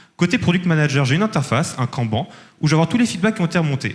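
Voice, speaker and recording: Speaking at a very fast pace, a man with a fairly high pitch makes very wide pitch swings. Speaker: startup founder pitching. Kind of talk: startup pitch with demo and Q&A.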